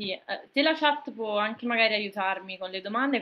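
With lively intonation, a woman speaks at a fairly high pitch. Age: 20s. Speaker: streamer. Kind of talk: casual chat. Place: home room. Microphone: video call.

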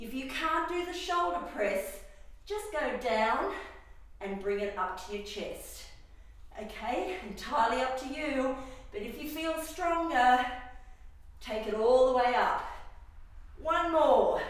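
Very slow speech from a woman with a high pitch, broken by long, frequent pauses, in strong room echo. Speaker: fitness instructor. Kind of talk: workout instruction. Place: gym. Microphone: camera far.

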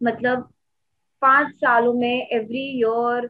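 A high-pitched woman with an Indian accent over a quiet background. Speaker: asset management product manager. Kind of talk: casual chat. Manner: halting. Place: home room. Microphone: video call.

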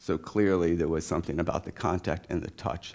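A man talks at a fairly quick pace. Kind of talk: lecture. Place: hall. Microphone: headset.

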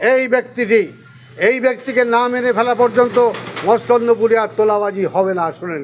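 An animated tone over noticeable background noise. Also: man, extremely high pitch for a man, ordinary pitch variation. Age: 60s. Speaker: local politician. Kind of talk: press statement.

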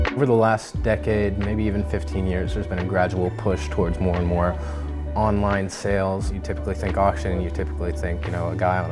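Very fast speech over clear music in the background. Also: man. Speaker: lead auction coordinator. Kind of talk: business interview answer. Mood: friendly, relaxed. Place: shop. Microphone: lapel.

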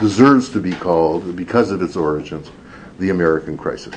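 Against noticeable background noise, a man talks with a very deep, low pitch and lively intonation. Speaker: professor. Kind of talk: lecture. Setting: stage with audience.

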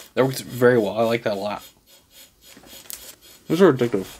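Ordinary pitch variation marks the male speaker's voice. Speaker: food reviewer. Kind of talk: casual food review to camera. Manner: fast-talking. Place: home room.

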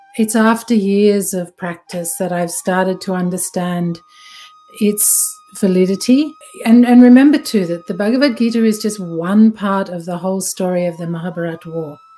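A woman speaking at a moderate pace with ordinary pitch variation and big swings in loudness, faint music in the background. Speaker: yoga teacher or speaker. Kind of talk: recorded talk on a text. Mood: calm, reflective. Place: home room. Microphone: webcam.

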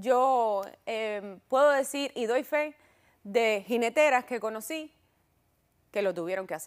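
A woman's fairly high voice with ordinary pitch variation, very slow and full of long, frequent pauses, over a quiet background. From Cuba. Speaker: talk show host. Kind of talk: interview. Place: studio. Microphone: lapel.

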